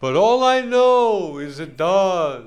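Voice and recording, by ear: A man speaks in a put-on character voice, pitched high with big swings in pitch, while faint music plays in the background.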